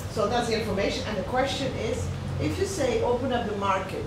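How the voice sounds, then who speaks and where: A woman talks at a very fast pace. Noticeable background noise and audible room echo surround her voice. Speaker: business owner, conference participant. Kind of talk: workshop discussion. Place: meeting room.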